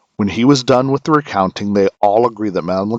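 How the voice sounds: The voice reads naturally, with ordinary pitch variation.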